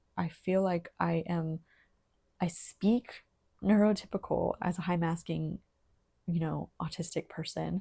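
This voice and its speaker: A woman's somewhat breathy voice, dark and mellow in tone, with fairly even intonation on a very clean recording with a silent background. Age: 30s. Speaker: vlogger sharing personal story. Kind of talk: personal testimony monologue. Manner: hesitant, with fillers and restarts.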